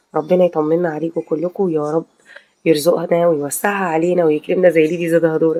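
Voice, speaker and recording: The sound is dry and close with no echo as a woman speaks in a fairly low pitch with monotone, flat intonation. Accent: Egyptian. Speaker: video commentator, housewife vlogger. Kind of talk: casual video commentary. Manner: hesitant, many fillers.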